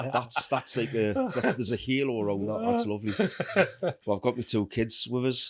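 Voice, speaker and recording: Someone with a Geordie accent speaks at a moderate pace, with very even loudness and fairly even intonation. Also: man, medium pitch for a man. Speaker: falconer and outdoor educator. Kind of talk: casual chat.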